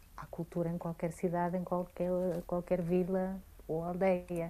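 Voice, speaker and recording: A woman speaks very slowly at a medium pitch, her tone dark and mellow. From Greece. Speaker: cultural curator and programmer. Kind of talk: radio interview. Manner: hesitant, with fillers.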